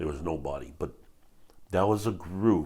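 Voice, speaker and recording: A man talks with a Hawaiian accent. His voice has vocal fry and ordinary pitch variation. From Hawaii, west side of Oahu. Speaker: retired police officer. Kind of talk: interview testimony. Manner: halting, many fillers.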